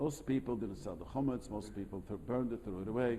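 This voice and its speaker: Very fast speech in a dark, mellow tone, with a non-native accent and audible room echo. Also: man. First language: not English. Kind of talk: lecture with class discussion. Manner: halting, repetitive.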